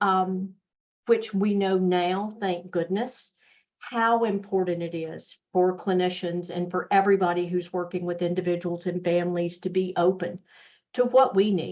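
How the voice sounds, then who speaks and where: A woman with a strong Southern US accent speaks at a medium pitch and a moderate pace, her intonation fairly even. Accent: Southern US, thick. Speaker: mental health nonprofit executive. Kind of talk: webinar presentation. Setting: online webinar. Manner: conversational, with fillers.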